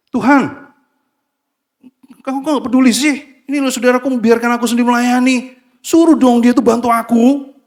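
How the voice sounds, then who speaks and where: In a put-on character voice, a man sounds whiny and raised, projecting at an extremely high pitch with monotone, flat intonation and a moderate pace. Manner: whiny, complaining.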